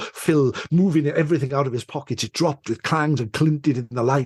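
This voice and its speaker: The man's voice is somewhat breathy. He talks fairly fast. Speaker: storyteller. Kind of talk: folk tale storytelling. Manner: atmospheric, measured narration.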